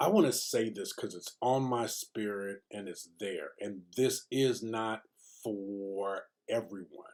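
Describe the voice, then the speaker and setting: Speaking at a very slow pace, a man uses a medium pitch. His loudness makes big swings. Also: ordinary pitch variation. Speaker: video diary vlogger. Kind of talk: casual vlog monologue. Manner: soft-spoken; halting, many fillers.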